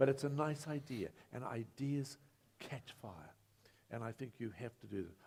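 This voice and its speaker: The voice is somewhat breathy and swings widely in loudness. Long pauses come often. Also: man, medium pitch for a man, ordinary pitch variation, moderate pace. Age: 70s. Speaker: former mayor, panelist. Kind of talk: panel discussion. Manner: animated.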